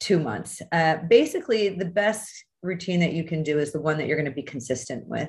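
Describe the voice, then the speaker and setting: A woman's very deep, low, somewhat breathy voice at a fairly quick pace, with ordinary pitch variation over a quiet background. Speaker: skin doctor hosting a masterclass. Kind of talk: online lecture. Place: home room. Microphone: video call.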